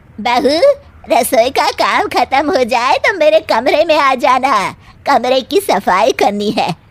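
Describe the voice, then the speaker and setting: A cartoonish character voice with very wide pitch swings at a fairly slow pace. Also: woman, high pitch for a woman. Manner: bossy, scolding.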